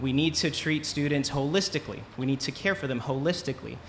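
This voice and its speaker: A man's medium-pitched voice with ordinary pitch variation and light background noise. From Rhode Island, Central Falls; Rhode Island. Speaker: gubernatorial candidate; candidate. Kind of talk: candidate forum answers. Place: tent. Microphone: camera far.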